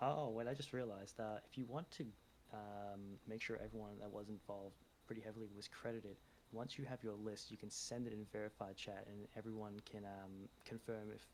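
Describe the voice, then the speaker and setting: A man speaks quietly at a fairly quick pace. His pitch is fairly low. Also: fairly even intonation. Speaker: community member. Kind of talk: casual Q&A in voice chat. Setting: online voice chat. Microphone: too quiet, boosted to 200 percent.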